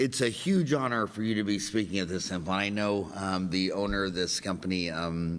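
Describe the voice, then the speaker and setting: Speaking at a moderate pace with hardly any pauses, a man with an unremarkable speaking voice and fairly low pitch uses ordinary pitch variation. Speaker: dentist, podcast host. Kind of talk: podcast interview.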